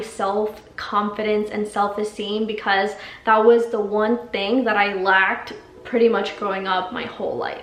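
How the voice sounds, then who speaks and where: A woman's fairly high voice with a Spanish accent, fairly even in intonation and fairly slow, over noticeable background noise and audible room echo. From Mexico, Guadalajara, moved to San Diego at ten. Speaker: life coach and vlogger. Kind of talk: personal testimony.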